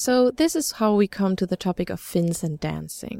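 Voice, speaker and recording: A woman with a German accent speaks at a fairly quick pace and medium pitch, her intonation lively and her tone dark and mellow, in a very clean recording with a silent background and a dry, close sound with no echo. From Germany. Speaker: student radio reporter. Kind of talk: scripted narration.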